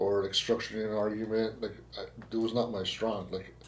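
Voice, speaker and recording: With a Spanish accent, a man speaks at a moderate pace in a monotone, flat delivery, and room echo is audible. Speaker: podcast host, insurance agent. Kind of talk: casual podcast interview. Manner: halting, repetitive phrasing.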